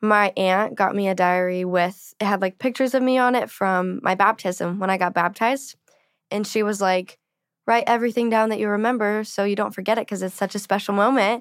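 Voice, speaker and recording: In an ordinary speaking voice, a woman with an American accent talks at a fairly quick pace with fairly even intonation. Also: medium pitch for a woman, very clean recording, silent background. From Arizona, Flagstaff. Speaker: country singer-songwriter. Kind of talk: casual interview. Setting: studio.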